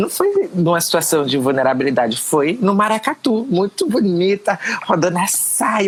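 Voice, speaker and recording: Noticeable background noise sits behind a woman speaking. She keeps a moderate pace and very even loudness. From Pernambuco, Brazil. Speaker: educator and politician. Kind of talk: interview answer.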